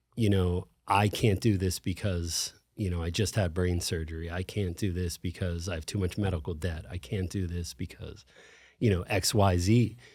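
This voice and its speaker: A man with an American accent speaks at a moderate pace in a very deep, low pitch, somewhat breathy. The recording is very clean with a silent background. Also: fairly even intonation. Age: 40s. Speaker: gym owner, brain tumor survivor. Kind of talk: interview conversation.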